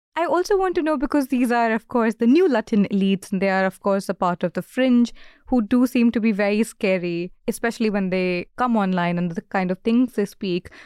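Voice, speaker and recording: A woman with an Indian accent speaks at a fairly quick pace with hardly any pauses, her fairly high pitch carrying lively intonation over a very clean recording with a silent background. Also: dry, close sound with no echo. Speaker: podcast host and interviewer. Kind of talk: casual interview.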